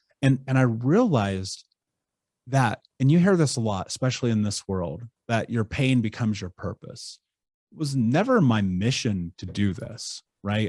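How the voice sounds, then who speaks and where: A man with an ordinary speaking voice, medium in pitch with lively intonation, at a moderate pace, in a dry, close sound with no echo and a quiet background. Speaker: coach for survivors of child abuse. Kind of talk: interview answer.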